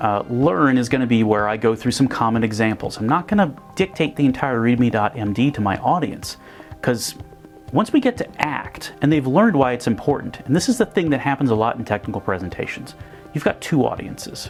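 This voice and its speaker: A man's medium-pitched voice with lively intonation at a fairly quick pace, music playing in the background. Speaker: presenter and video parody producer. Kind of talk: explanatory presentation talk to camera.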